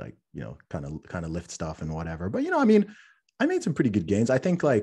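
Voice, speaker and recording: A man talks very fast, with big swings in loudness. The background is quiet. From Saudi Arabia, international school; born in UK. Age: 30s. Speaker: rapper and fitness author. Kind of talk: casual podcast chat.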